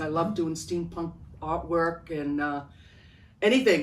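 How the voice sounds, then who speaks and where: With a Rhode Island accent, a woman speaks in a very deep, low pitch with lively intonation, and audible room echo. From Providence, Rhode Island, US. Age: 70s. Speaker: artist. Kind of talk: casual interview.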